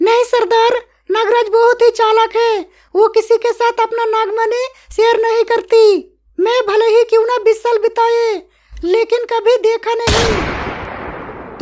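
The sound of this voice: A female-sounding cartoonish character voice sits at an extremely high pitch. The intonation is monotone and flat, and the pace is fairly slow.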